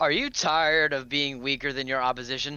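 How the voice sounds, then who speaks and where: A man in a put-on character voice, fairly high in pitch and monotone, with flat intonation. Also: fairly quick pace. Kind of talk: commercial announcer. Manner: hyped, salesy.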